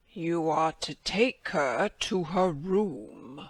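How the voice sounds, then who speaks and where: A man puts on a husky character voice, high-pitched and with lively intonation, speaking at a very slow pace. The very clean recording has a silent background and a dry, close sound with no echo. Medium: read story.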